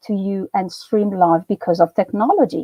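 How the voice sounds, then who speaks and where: A woman speaks with an Italian accent. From Italy. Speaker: university lecturer. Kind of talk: lecture. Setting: live stream.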